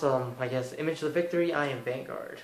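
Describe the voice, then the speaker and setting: Audible room echo colors this man's voice. He talks at a fairly quick pace with fairly high pitch and fairly even intonation. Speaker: card game commentator, channel host. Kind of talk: channel sign-off. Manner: hesitant, many fillers.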